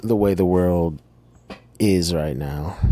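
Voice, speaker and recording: Noticeable background noise sits behind a man's voice. His pitch is very deep and low, with ordinary variation. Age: 40s. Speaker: podcast host. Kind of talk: personal monologue. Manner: halting.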